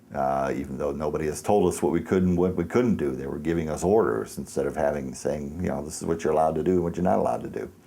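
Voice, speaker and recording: Amid noticeable background noise, a man talks at a very fast pace in a very deep, low voice with ordinary pitch variation. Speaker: shooting survivor. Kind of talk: interview answer. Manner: hesitant, reflective.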